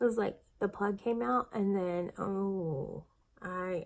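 Delivered at a very slow pace, the voice carries a lively intonation. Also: woman. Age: 40s. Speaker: vlogger documenting weight loss surgery; weight loss vlogger. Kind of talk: casual vlog monologue. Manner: chatty, with frequent fillers. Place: home room. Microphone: phone near.

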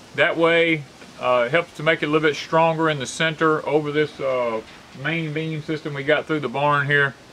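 Pitched fairly high, a man speaks with a bright, sharp tone. His pace is moderate and the intonation fairly even.

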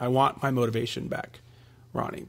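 A plain, everyday voice, fairly quick and fairly even in intonation, on a very clean recording with a silent background. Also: man. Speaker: weight-loss podcast host. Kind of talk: solo podcast, reading and answering listener emails.

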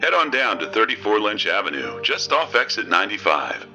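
Over faint background music, a man puts on a character voice that is fairly low-pitched, bright and sharp, with big pitch swings and a fairly quick pace.

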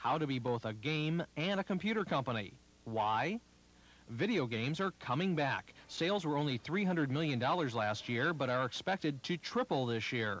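An unremarkable speaking voice from a man, fairly high-pitched and lively in intonation, at a moderate pace and very even loudness over a quiet background. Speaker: news reporter. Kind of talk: 1980s TV news report, scripted. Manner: formal, brisk, polished broadcast delivery; even, authoritative, steady pacing.

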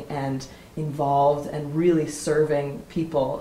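Very deep, low woman's voice with fairly even intonation, audible room echo and light background noise. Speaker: interviewer. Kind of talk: interview. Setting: workshop retreat. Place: home room.

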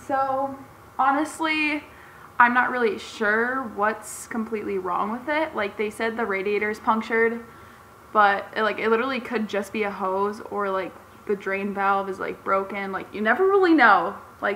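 Against light background noise, a woman speaks at a moderate pace. Her pitch varies in an ordinary way. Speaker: car DIY vlogger. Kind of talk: casual vlog chat. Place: garage. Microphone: phone near.

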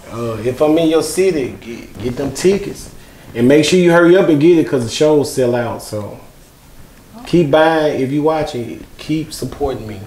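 Speaking with a rural Mississippi accent at a moderate pace and hardly any pauses, a man with fairly high pitch, ordinary pitch variation and big swings in loudness is heard with audible room echo. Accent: rural Mississippi Southern US. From Mississippi, US South. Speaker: comedian. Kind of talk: casual interview. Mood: relaxed, friendly. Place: studio. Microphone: lapel.

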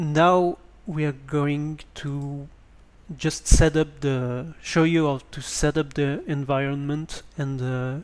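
A man with a French accent speaks very slowly in a fairly high pitch, his intonation flat and monotone. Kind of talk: screen-recorded tutorial. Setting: basic home microphone. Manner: hesitant.

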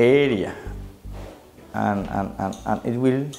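Over clear background music, a man with a non-native accent talks at a very slow pace. His pitch sits in the medium range. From Somalia. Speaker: housing officer. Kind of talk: oral history interview answer. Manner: hesitant, with filler sounds and repetitions. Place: studio. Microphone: lapel.

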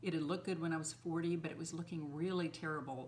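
A woman speaks with vocal fry and a low pitch. Her pace is fairly quick.

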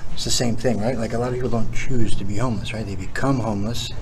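Over noticeable background noise, a man talks at a very fast pace in a monotone, flat intonation. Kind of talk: explaining to visitors on a walk-through. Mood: earnest, persuasive. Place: tunnel cave.

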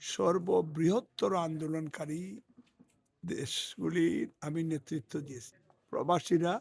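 Here a man speaks with a fairly high pitch and ordinary pitch variation. The recording is very clean, with a silent background. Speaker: politician, parliamentary candidate. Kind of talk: interview. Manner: halting.

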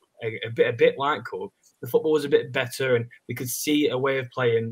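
A somewhat breathy voice with an English accent, moderate in pace, with ordinary pitch variation. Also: man. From England. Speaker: football fan. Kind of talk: casual chat. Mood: frustrated, reflective. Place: home room.

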